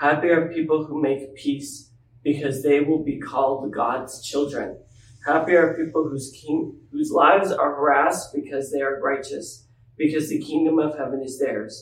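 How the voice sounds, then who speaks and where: The speaker has a plain, everyday voice. Intonation stays fairly even at a moderate pace. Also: man, fairly high pitch for a man. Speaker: scripture reader. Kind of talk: reading aloud.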